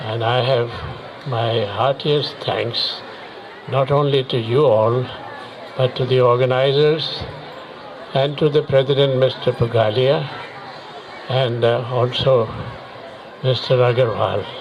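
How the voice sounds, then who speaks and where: Amid audible room echo and noticeable background noise, a man speaks at a medium pitch and fairly slow pace, with monotone, flat intonation and long, frequent pauses. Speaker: war veteran. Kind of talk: public speech. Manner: halting.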